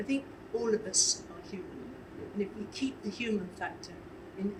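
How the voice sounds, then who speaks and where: Noticeable background noise sits behind a voice moving at a moderate pace. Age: 80s+. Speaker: charity leader and pageant organiser. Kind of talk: casual chat.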